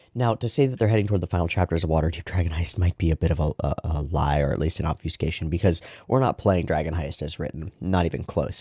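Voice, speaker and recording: A quiet man speaks at a fairly quick pace with a very deep, low pitch and a dark, mellow tone, his pitch varying in an ordinary way. The recording is very clean and dry, close with no echo and a silent background. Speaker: dungeon master and channel host. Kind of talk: casual vlog monologue. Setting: at home. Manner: talking quietly.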